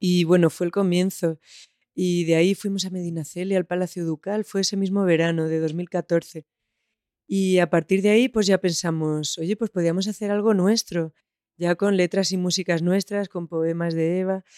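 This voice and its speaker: Dry and close with no echo, a woman speaks at a moderate pace with a fairly low pitch. Her intonation is monotone and flat, with a dark, mellow tone. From Spain, Almansa (Albacete). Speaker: musician. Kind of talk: interview.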